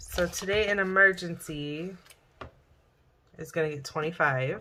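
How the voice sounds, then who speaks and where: A woman's fairly low voice at a very slow pace, with ordinary pitch variation. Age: 30s. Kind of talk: casual talk to camera. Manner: hesitant, stammering.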